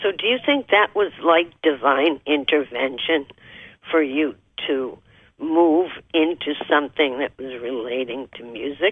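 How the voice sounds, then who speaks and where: Very deep and low in pitch, a woman speaks at a fairly slow pace in a warm tone, with ordinary pitch variation and big swings in loudness. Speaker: radio talk show host and spiritual counselor. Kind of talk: interview. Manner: warm and effusive.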